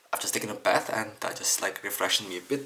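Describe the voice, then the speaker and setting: Soft-spoken and at a moderate pace, a man talks over noticeable background noise. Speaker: camera lens repair hobbyist. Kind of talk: tutorial.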